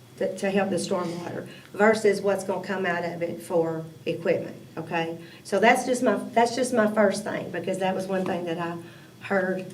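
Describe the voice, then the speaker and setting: Over noticeable background noise and audible room echo, a woman with an American accent speaks at a moderate pace and medium pitch. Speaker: city council member. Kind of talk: committee meeting discussion.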